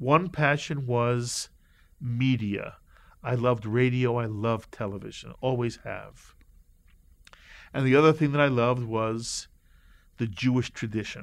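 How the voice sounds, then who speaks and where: A man with a northeastern American accent speaks at a fairly slow pace and medium pitch, with fairly even intonation and long, frequent pauses, on a very clean recording with a silent background. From US Northeast, New York City and Connecticut. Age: 60s. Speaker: rabbi and broadcaster. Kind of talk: interview, life story.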